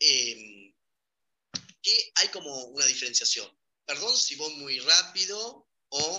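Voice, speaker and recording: A man speaks at a very slow pace with long, frequent pauses. His fairly high pitch swings very widely in a bright, sharp tone. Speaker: migration specialist. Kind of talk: interview.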